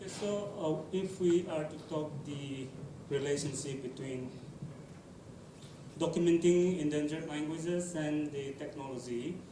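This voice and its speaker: Over noticeable background noise and audible room echo, a man with a fairly high voice talks at a moderate pace with ordinary pitch variation. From Nagaland, India. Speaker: field linguist documenting endangered languages. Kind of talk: panel discussion. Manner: halting, many fillers.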